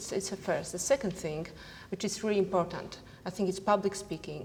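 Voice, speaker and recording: A woman speaks with a non-native accent and fairly even intonation. There is noticeable background noise. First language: not English. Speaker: entrepreneur. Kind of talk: panel discussion. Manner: halting.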